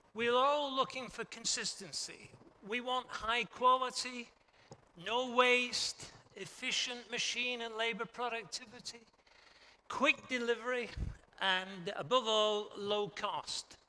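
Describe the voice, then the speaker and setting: At an extremely high pitch, a man projects a raised voice with a bright, sharp tone at a very slow pace. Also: ordinary pitch variation. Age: 70s. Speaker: textile industry expert. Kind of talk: conference talk.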